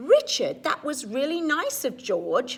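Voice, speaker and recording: The speaker uses a put-on character voice at a fairly slow pace. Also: woman, high pitch for a woman. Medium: read story.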